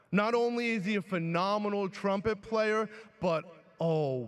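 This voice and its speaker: This man talks in an animated tone with a New York accent. His pitch varies in an ordinary way. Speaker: teacher and graduation speaker. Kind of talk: commencement speech. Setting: graduation ceremony with audience.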